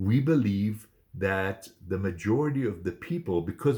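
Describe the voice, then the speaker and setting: Somewhat breathy, with a dark, mellow tone and lively intonation on a very clean recording with a silent background. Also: man. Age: 60s. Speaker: photographer and vlogger. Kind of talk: casual vlog monologue. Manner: hesitant, many fillers.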